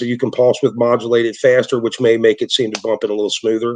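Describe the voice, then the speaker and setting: A man's medium-pitched voice moves at a fairly quick pace. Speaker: transmission builder. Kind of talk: interview. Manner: fast; halting, many repetitions.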